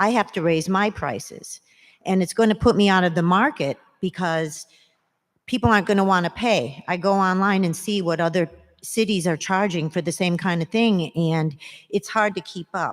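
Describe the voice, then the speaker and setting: The recording is very clean, with a silent background. A woman speaks in a normal speaking voice at a medium pitch and moderate pace, with ordinary pitch variation. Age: 60s. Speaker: resident speaking at public comment. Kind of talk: public comment at council meeting. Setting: city council meeting.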